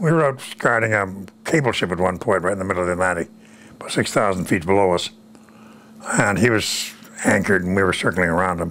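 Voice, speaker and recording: Amid noticeable background noise, a man with a very deep, low pitch talks at a very fast pace with ordinary pitch variation and long, frequent pauses. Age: 90s. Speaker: war veteran. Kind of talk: interview. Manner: halting.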